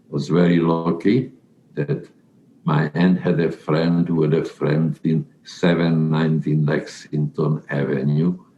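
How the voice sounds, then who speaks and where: Over noticeable background noise, a man with a very deep, low voice and a Central European accent speaks at a fairly slow pace, his intonation fairly even and his loudness very even. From Czechoslovakia, Carpathian region. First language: not English (Czech/Hungarian region). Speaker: Holocaust survivor. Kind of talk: life story interview. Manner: halting.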